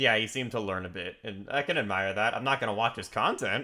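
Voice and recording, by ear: With ordinary pitch variation, the speaker is reading aloud in a natural voice.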